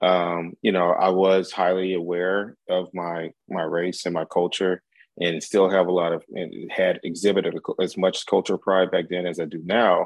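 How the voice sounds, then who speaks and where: A man speaks with a very deep, low pitch. His delivery is monotone and flat, at a moderate pace. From US military bases, St. Louis area and Germany. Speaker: college professor. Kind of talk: casual chat.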